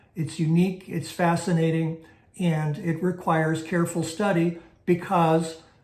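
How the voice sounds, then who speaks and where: A man speaks with a high pitch. The room gives off an audible echo. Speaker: Bible teacher. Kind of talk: teaching lecture. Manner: slow; hesitant fillers.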